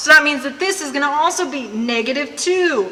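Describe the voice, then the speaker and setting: Raising and projecting her voice, a woman speaks at a fairly quick pace with lively intonation, amid audible room echo and noticeable background noise. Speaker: chemistry teacher. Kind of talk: lecture. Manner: fast.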